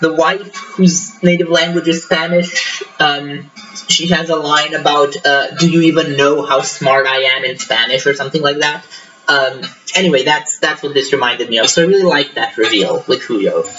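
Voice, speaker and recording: A man at fairly high pitch, ordinary pitch variation and moderate pace, with music in the background. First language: not English. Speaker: book reviewer. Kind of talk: casual book review monologue. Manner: halting, many fillers. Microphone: laptop mic, wonky levels, tinny echo.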